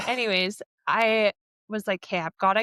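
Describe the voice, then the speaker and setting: A woman speaks loudly at a moderate pace and fairly high pitch, her tone bright and sharp, with dry, close sound and no echo. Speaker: podcast host. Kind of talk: casual chat. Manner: animated.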